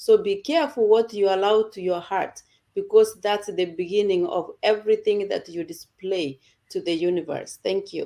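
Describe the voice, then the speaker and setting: Speaking at a moderate pace, a woman has a dark, mellow tone, medium pitch and ordinary pitch variation. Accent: non-native. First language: not English. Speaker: online community presenter. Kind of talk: casual group talk.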